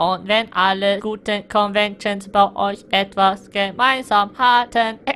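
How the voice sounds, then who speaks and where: In a put-on character voice with a fairly high pitch, the speaker goes at a fairly slow pace with hardly any pauses. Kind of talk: comic overacting. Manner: hesitant, stammering.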